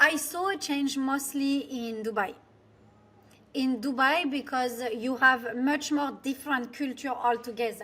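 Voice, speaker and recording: A woman speaks in a high, raised and projected voice with a bright, sharp tone, fairly even intonation and a fairly slow pace. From France. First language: French. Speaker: business coach, former finance executive. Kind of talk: interview. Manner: halting, with many fillers.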